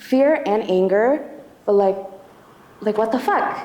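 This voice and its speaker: A woman speaks in a shaky voice at a fairly high pitch and a fairly slow pace. There is audible room echo and noticeable background noise. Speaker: activist testifying at a community tribunal. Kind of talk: testimony. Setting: church hall event with audience. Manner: shaky, halting with many fillers.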